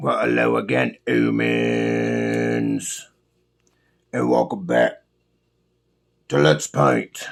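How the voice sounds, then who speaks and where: Putting on a raspy character voice, a man speaks very slowly at a very deep, low pitch, with long and frequent pauses. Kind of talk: casual talk to camera. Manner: silly put-on voice.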